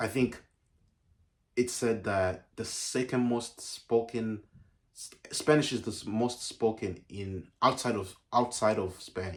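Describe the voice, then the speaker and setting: A very slow pace with long, frequent pauses, fairly even intonation and big swings in loudness, on a very clean recording with a silent background. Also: man, medium pitch for a man. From Uganda. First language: Ugandan mother language. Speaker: YouTuber. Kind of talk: casual vlog talk. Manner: halting, many fillers and restarts.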